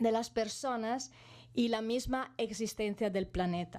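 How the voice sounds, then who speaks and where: A woman with an Italian accent speaks at a fairly high pitch. Her pace is fairly slow and her intonation fairly even. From Italy, Bologna. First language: Italian (speaking Spanish). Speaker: animal welfare campaigner. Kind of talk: conference talk. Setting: parliament conference hall. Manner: halting, many fillers.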